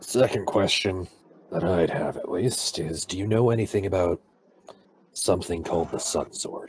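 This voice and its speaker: Putting on a character voice, a man sounds raspy and very deep, with fairly even intonation at a moderate pace. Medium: actual play. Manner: wry, hesitant.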